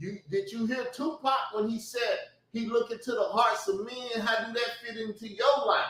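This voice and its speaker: Loud speech comes at a moderate pace with fairly even intonation. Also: man, extremely high pitch for a man. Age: 40s. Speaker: YouTube commentator. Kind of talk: heated rant. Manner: laughing.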